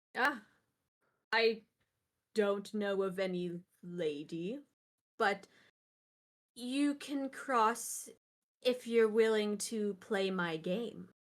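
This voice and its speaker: In a put-on character voice that is gravelly and medium-pitched, a woman speaks at a very slow pace with long, frequent pauses on a very clean recording with a silent background. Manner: playful, game-offering.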